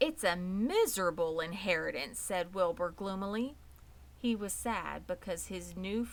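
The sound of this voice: The voice is an unforced reading voice. That covers it.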